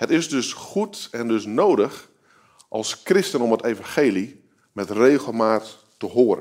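The pace is very slow, but the intonation is lively. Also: man, medium pitch for a man. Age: 30s. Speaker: guest preacher. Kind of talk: sermon. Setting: video recording shown in church.

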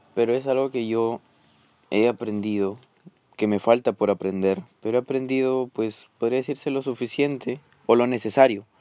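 Fairly slowly, a man speaks with fairly even intonation. His tone is dark and mellow. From Peru. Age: 20s. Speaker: student podcaster. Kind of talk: casual monologue. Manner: hesitant.

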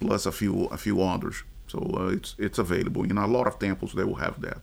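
A man speaks with a very deep, low pitch. His voice carries vocal fry. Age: 50s. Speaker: former systems analyst, church writer. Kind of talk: interview. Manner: halting.

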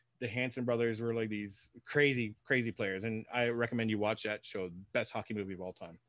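A man with a Canadian accent and a normal speaking voice of medium pitch talks at a fairly quick pace in a very clean recording with a silent background. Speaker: podcast co-host. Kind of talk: casual chat.

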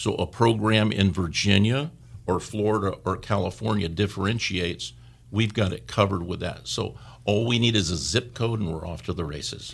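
In an unremarkable speaking voice, a man with a fairly low pitch talks at a moderate pace with ordinary pitch variation over a very clean recording and a silent background. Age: 60s. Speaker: mortgage branch manager. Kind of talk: radio interview.

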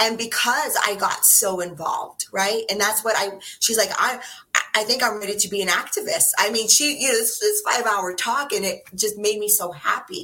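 Speaking at a fairly high pitch with ordinary pitch variation, a woman is heard over noticeable background noise. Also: moderate pace. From New Mexico, US Southwest. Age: 50s. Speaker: political activist. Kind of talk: casual interview.

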